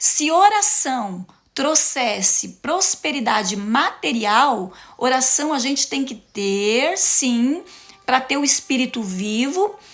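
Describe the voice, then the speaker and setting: Very wide pitch swings mark this very slow delivery, heard over noticeable background noise. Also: woman. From interior of Paraná, Brazil. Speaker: preacher / motivational speaker. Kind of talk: sermon-style live talk. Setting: live stream. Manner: animated.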